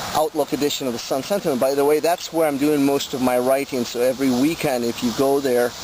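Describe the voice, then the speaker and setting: Fairly even in intonation, the very fast speech has hardly any pauses over noticeable background noise. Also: man, fairly high pitch for a man. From Colombia. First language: Spanish. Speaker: touring cyclist and video blogger. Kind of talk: video diary update. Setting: outdoors while cycling. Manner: hesitant with many fillers.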